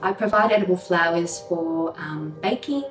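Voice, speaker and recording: Over background music, a woman with a slight New Zealand accent talks at a fairly slow pace in a fairly low voice with ordinary pitch variation. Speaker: microgreens grower. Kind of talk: interview answer.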